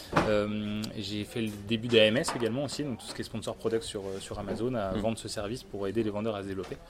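With noticeable background noise, a man with a fairly low pitch talks at a very fast pace with hardly any pauses and fairly even intonation. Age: 30s. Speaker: e-commerce executive. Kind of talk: interview. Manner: hesitant, many fillers.

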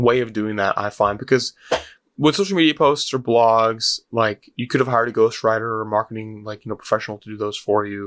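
A man with a plain, everyday voice and medium pitch, fairly quick pace, fairly even intonation and big swings in loudness, in a very clean, silent-background recording that is dry and close with no echo. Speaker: podcast host. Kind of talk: casual interview chat.

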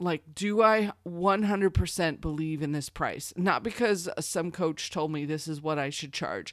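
A woman with an American accent and an unremarkable speaking voice talks at a fairly slow pace with a fairly low pitch and ordinary pitch variation, in a very clean recording with a silent background. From Missouri. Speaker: podcast host, online course coach. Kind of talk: solo podcast tutorial.

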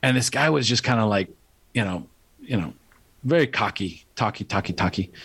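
A man with a medium pitch talks at a fairly quick pace, using lively intonation broken by long, frequent pauses. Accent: American. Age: 50s. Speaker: life coach. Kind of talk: interview.

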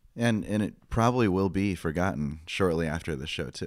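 A man talks at a very fast pace in a very deep, low pitch. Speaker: watch journalist. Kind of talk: casual chat.

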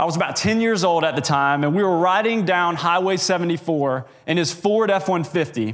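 The voice carries an American accent. Its intonation is lively. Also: man. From US South, North Carolina (Indian Trail). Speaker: trainee preacher. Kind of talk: sermon. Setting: church pulpit.

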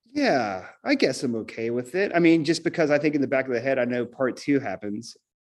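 Against a quiet background, a man with an American accent uses an unremarkable speaking voice, medium in pitch with ordinary pitch variation, moving fairly quickly with hardly any pauses. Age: 40s. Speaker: rock drummer. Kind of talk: casual interview chat. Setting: remote call from home music room.

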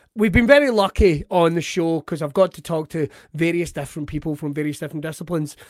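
A man's high-pitched, animated voice in an Ayrshire accent, very fast, with ordinary pitch variation. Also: dry, close sound with no echo. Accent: Scottish, Ayrshire. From Ayrshire, Scotland. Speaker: podcast host. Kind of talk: casual chat, interview. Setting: video call, remote recording. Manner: joking, animated.

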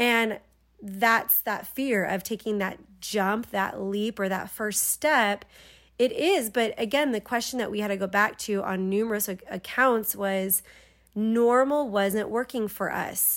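A woman's fairly high, fairly even voice at a fairly slow pace, an ordinary speaking voice, on a very clean recording with a silent background. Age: 30s. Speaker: podcast host. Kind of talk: casual chat. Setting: home, on the couch.

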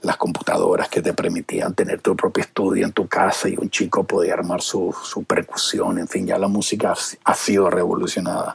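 Noticeable background noise is present. The man keeps to a moderate pace. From Venezuela. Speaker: television producer. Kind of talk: interview. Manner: halting, many repetitions.

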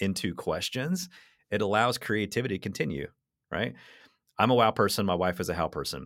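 A man with a normal speaking voice talks at a fairly low pitch and a moderate pace, his intonation lively. The sound is dry and close with no echo, in a very clean recording with a silent background. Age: 30s. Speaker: magician and storyteller. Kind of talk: casual chat.

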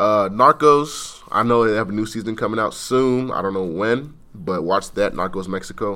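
Here is a man with a fairly low pitch and a bright, sharp tone. He speaks with an American accent at a moderate pace, with ordinary pitch variation. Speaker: college student. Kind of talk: casual chat.

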